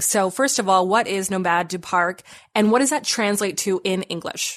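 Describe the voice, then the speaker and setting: A woman has a normal speaking voice at a medium pitch, with ordinary pitch variation. She talks at a fairly quick pace against a quiet background. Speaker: podcast host. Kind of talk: scripted intro; interview conversation.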